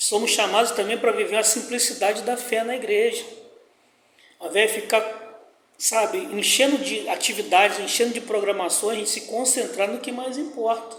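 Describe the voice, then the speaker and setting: A man speaks at an extremely high pitch and a moderate pace, his intonation fairly even. Audible room echo and noticeable background noise come through. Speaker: pastor teaching Bible study. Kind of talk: Bible study lesson.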